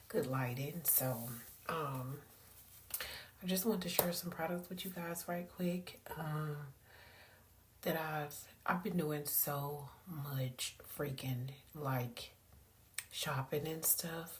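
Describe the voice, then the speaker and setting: A woman with a very deep, low voice speaks at a very slow pace, with long, frequent pauses and ordinary pitch variation. Audible room echo and noticeable background noise fill the recording. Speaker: lifestyle vlogger. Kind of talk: casual vlog talk. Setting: at home at night. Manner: quiet, talking low.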